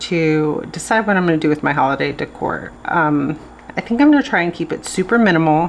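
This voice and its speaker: Using an ordinary speaking voice, a woman with a fairly low pitch shows ordinary pitch variation. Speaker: planner video creator. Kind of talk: casual tutorial.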